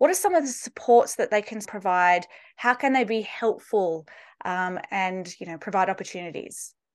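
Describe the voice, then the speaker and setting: With an Australian accent, a woman at a medium pitch swings widely in loudness over a quiet background. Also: ordinary pitch variation, moderate pace. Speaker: podcast host. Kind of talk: casual interview.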